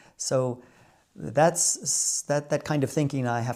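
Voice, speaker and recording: Over a very clean recording with a silent background, a man with an American accent speaks at a medium pitch and a fairly slow pace. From United States. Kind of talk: casual talk to camera.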